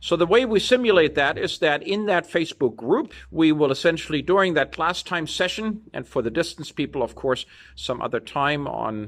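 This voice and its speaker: The intonation is lively. The pace is moderate. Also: man. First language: not English. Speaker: university lecturer. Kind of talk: lecture.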